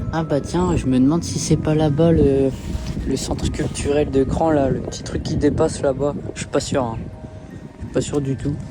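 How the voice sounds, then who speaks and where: Music plays in the background as a man with a fairly high voice speaks with long, frequent pauses and audible room echo. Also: ordinary pitch variation, moderate pace. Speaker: vlogger. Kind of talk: travel vlog. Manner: hesitant, many fillers.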